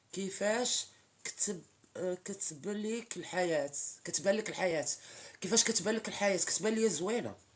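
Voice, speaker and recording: At a moderate pace, the speech comes in a plain, everyday voice, its pitch shifting in an ordinary way. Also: woman, medium pitch for a woman. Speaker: social media live streamer. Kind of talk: casual live-stream chat with viewers. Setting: TikTok live stream.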